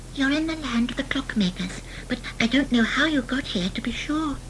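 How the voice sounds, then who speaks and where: A put-on character voice, female-sounding and high in pitch, over clear background noise. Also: fairly quick pace. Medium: read story.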